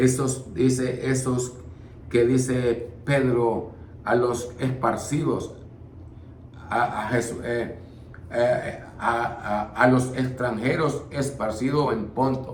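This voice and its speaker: Speaking very slowly with long, frequent pauses, a man at a medium pitch keeps his intonation fairly even, and the room echo is audible. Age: 60s. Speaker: preacher. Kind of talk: bible study. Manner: halting.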